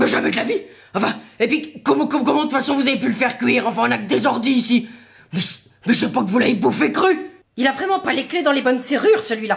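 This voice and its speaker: A put-on character voice races along at a very fast pace and a fairly high pitch. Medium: voice reel. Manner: evasive, blustering.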